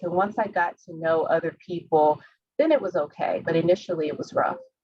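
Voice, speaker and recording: A woman speaks with a Southern US accent. Her pitch is fairly low and her pace fairly quick. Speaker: healthcare professional. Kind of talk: panel discussion.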